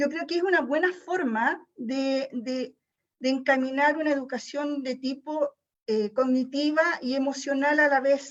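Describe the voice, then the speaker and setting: Fairly even intonation, a fairly slow pace and a high pitch from a woman. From Chile. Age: 60s. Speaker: teacher attending seminar. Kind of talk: audience question and reflection. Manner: halting.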